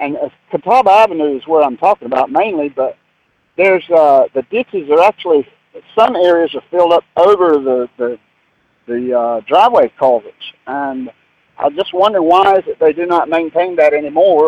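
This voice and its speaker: Heard dry and close with no echo, a man with a Southern US accent speaks at a moderate pace in a high pitch with lively intonation. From Mooresville, North Carolina. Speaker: radio show caller. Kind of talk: call-in question. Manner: halting.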